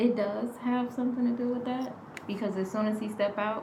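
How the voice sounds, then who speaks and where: A woman talks at a moderate pace. Her voice carries audible room echo and noticeable background noise. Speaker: spiritual healer. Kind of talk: casual chat. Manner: shy.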